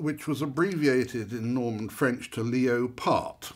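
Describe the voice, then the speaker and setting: A man speaks in a normal speaking voice at a medium pitch with ordinary pitch variation. His pace is fairly slow, and the recording is very clean with a silent background. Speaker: silver antiques expert. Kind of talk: expert explaining hallmarks in a masterclass. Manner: wry, humorous, conversational.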